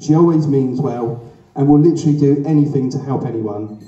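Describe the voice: Strong room echo surrounds a man speaking at a fairly quick pace and fairly high pitch, his tone dark and mellow with ordinary pitch variation.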